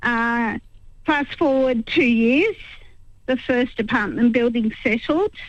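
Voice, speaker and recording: A woman with an Australian accent speaks at a very slow pace, with a high pitch and ordinary pitch variation. Her loudness stays very even, and she takes long, frequent pauses. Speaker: caller. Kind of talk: phone-in call to talkback radio. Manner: hesitant, many ums.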